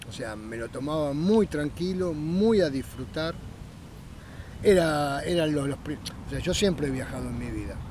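With a Rioplatense accent, a man talks at a fairly slow pace in a fairly high pitch for a man, his intonation lively and the room echo audible. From Buenos Aires, Argentina. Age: 60s. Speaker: kayaker. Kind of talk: interview.

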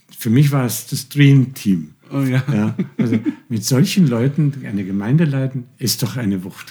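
In a dark, mellow, somewhat breathy tone, a man speaks at a moderate pace and medium pitch with lively intonation. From Austria, Tyrol. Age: 70s. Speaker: pastor. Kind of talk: interview. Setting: studio.

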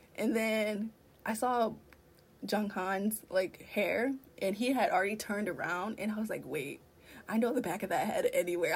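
A woman talks at a moderate pace. Her voice is fairly high and somewhat breathy. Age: 20s. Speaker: fan content creator. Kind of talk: casual chat.

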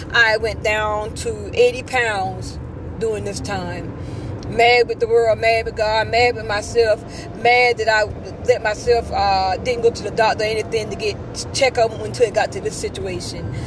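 There is noticeable background noise. A woman talks at a moderate pace. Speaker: podcaster sharing faith testimony. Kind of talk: testimony. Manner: halting.

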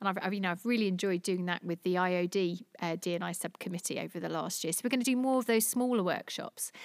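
A woman with a London accent speaks at a very fast pace with hardly any pauses, at a medium pitch with ordinary pitch variation. The sound is dry and close, with no echo. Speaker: diversity network founder. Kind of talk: interview. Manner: halting, many repetitions.

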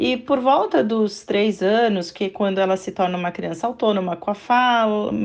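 This woman has a plain, everyday voice, speaking at a moderate pace with a fairly high pitch and lively intonation. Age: 40s. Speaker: mother of a child with a behavioral disorder. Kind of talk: interview.

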